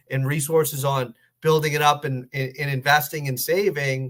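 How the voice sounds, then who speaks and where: A man has a normal speaking voice with a fairly high pitch. He keeps a moderate pace and fairly even intonation. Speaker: financial planner. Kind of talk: webinar presentation. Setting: online webinar call.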